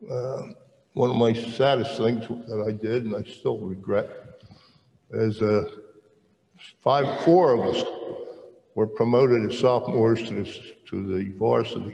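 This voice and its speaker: Audible room echo surrounds a man with an American accent who speaks at a fairly slow pace with fairly even intonation and long, frequent pauses. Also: medium pitch for a man. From South Jersey (Camden area), US. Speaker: retired military veteran and churchman. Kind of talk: testimony interview. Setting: stage with audience.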